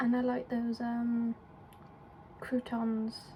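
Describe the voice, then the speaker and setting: The speaker has an English accent and a monotone, flat intonation. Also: woman. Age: 20s. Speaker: vlogger. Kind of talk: casual vlog chat. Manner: casual, rambling with fillers.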